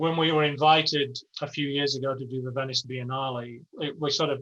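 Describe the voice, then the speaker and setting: A man talks with an English accent in a bright, sharp tone. His intonation is monotone and flat. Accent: English accent, noticeable. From England, Yorkshire. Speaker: architecture professor and studio director. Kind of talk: interview conversation. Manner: casual, frank, with many false starts.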